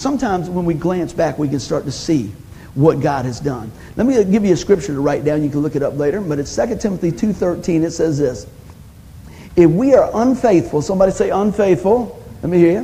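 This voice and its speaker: A man speaks in an animated tone at a fairly quick pace, his high voice making very wide pitch swings over noticeable background noise. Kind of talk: sermon, preacher in full flow. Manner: animated, call-and-response, punchy one-liners; warm, exhorting, urging the congregation to say amen.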